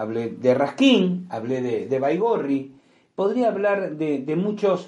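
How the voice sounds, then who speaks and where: Speaking at a very slow pace with a Rioplatense accent, a man uses a high-pitched voice with a dark, mellow tone and very wide pitch swings, heard with audible room echo. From Argentina, Buenos Aires. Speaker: podcast host. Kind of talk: storytelling monologue. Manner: hesitant fillers and repetitions.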